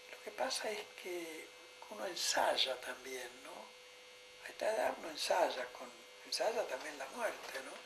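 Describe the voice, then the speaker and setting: A man with a Rioplatense accent at a fairly slow pace, with very wide pitch swings, big swings in loudness, long, frequent pauses, audible room echo and noticeable background noise. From Argentina, Buenos Aires province. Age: 80s+. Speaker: psychoanalyst. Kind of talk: conversation on a stage. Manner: halting, many fillers.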